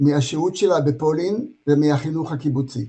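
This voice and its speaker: In an Israeli accent, a man with a fairly high pitch and a dark, mellow tone speaks at a very slow pace. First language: Hebrew. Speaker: brother of the deceased. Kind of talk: memorial speech. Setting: video call.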